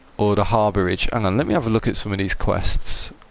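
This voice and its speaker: Over music in the background, a man talks in a British accent. His pace is moderate and his pitch variation ordinary. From UK. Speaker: gaming streamer. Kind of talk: live gameplay commentary. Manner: casual, hesitant with fillers.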